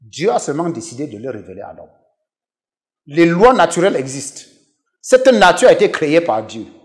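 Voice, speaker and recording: A man's high voice with very wide pitch swings, big swings in loudness and long, frequent pauses, against a quiet background. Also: moderate pace. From western Cameroon. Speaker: professor and pastor; professor, pastor. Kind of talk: interview testimony. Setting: TV studio. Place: home room. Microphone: lapel.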